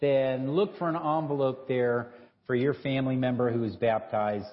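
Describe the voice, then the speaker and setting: Through noticeable background noise, a man talks with pitch that varies in an ordinary way. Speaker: clergy giving announcements. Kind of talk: announcements and prayer. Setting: church. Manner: jovial, laughs often.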